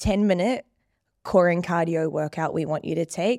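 A woman with a New Zealand accent speaks at a fairly quick pace and a fairly low pitch. The recording is very clean, with a silent background. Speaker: fitness trainer. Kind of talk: casual interview chat. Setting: studio.

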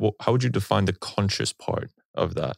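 An ordinary speaking voice with ordinary pitch variation moves at a moderate pace. The recording is very clean, with a silent background and a dry, close sound with no echo. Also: man. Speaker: podcast host. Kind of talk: interview, casual conversation.

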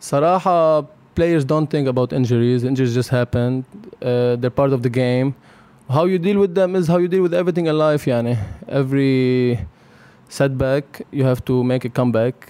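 Using an ordinary speaking voice, a man talks at a fairly quick pace with medium pitch, ordinary pitch variation and very even loudness. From Lebanon. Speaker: professional basketball player. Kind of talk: casual interview. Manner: code-switching Arabic and English.

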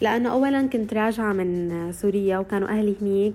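Using a plain, everyday voice, this woman keeps a moderate pace, her pitch varying in an ordinary way. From Syria. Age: 20s. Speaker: recent journalism graduate and social media creator. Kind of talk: interview testimony.

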